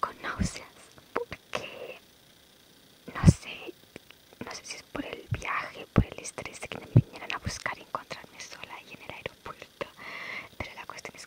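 A soft-spoken woman whispers at a fairly slow pace. The sound is dry with no echo, and the background noise is loud. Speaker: travel vlogger. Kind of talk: casual vlog chat. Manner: soft ASMR whisper, close to mic. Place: home room. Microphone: phone near.

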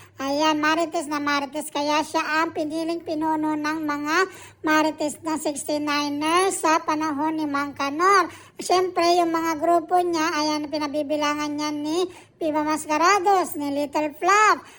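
A woman speaks at a fairly slow pace in a high pitch, with a bright, sharp tone and monotone, flat intonation. The recording is very clean, with a silent background. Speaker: cooking vlogger. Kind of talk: cooking vlog with comedic storytelling. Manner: stumbling over words.

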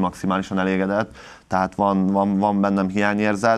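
A man speaks in a monotone, with flat intonation. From Hungary. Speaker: taekwondo national team head coach. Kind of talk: TV sports interview. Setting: TV studio. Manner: halting, many repetitions. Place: studio.

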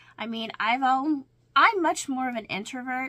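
A woman talks at a moderate pace with a high pitch. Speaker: crafting vlogger. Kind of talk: casual vlog chat. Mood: warm, reflective, laughing. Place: home room. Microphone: webcam.

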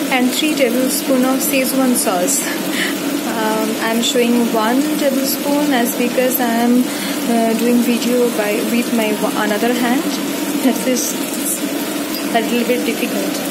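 A woman talks at a fairly slow pace with long, frequent pauses. Loud background noise runs underneath. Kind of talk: cooking tutorial. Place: kitchen. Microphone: phone near.

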